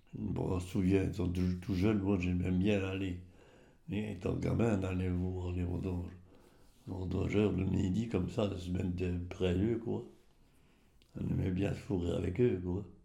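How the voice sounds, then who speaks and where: A man speaks very slowly with long, frequent pauses, his very deep voice somewhat breathy and dark and mellow in tone. His intonation stays fairly even, and the room echo is audible. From rural Champagne, Aube (Côte des Bar), France. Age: 80s+. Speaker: retired winegrower. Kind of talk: oral history interview. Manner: halting, with many repetitions and hesitations.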